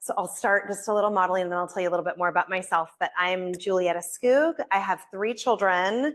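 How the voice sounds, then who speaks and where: A woman talks at a very fast pace with hardly any pauses against a quiet background. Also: medium pitch for a woman, ordinary pitch variation. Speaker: parenting workshop presenter. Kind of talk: workshop. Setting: hybrid in-person and Zoom workshop. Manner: loud.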